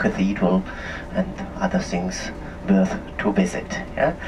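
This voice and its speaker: Moderate pace in an Austrian accent, with noticeable background noise. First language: German. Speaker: tour guide. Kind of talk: guided tour commentary. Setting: on a coach tour. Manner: halting.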